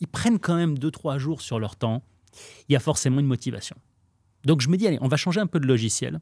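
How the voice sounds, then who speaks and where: Over a quiet background, a man speaks at medium pitch with lively intonation. His tone is dark and mellow, and the sound is dry with no echo. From Lebanese family, raised in France. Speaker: real estate trainer. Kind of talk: casual interview chat. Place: studio. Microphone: studio mic.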